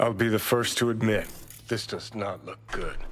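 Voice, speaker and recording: This man uses a put-on character voice at medium pitch. His pace is moderate. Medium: video game. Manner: sarcastic, crude.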